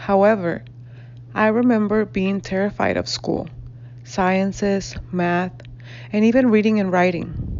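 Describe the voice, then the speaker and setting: A woman with a Spanish accent at a medium pitch, lively intonation, a fairly slow pace and long, frequent pauses. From northern Mexico (Reynosa, Tamaulipas). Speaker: graduate student and educator. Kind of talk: class presentation, reading aloud. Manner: formal.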